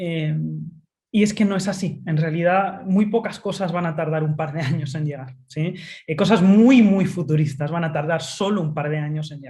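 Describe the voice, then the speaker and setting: A woman's fairly low, somewhat breathy voice with a dark, mellow tone and a Spanish accent, ordinary pitch variation, big swings in loudness, and audible room echo. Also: moderate pace. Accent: Spanish (Spain). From Spain. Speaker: tech futurist speaker. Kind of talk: webinar talk. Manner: frequent fillers (eh).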